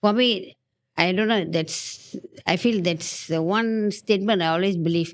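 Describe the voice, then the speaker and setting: An unremarkable speaking voice moves at a fairly slow pace, with very even loudness and fairly even intonation. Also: woman, medium pitch for a woman. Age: 60s. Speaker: podcast guest. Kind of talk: casual chat.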